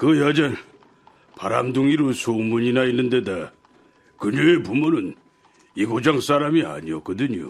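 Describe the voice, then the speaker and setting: A man puts on a raspy character voice at a medium pitch, moving at a moderate pace with long, frequent pauses. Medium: audio drama. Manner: confiding, storytelling.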